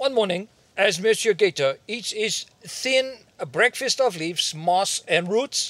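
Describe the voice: Lively intonation rises and falls through this plain reading aloud.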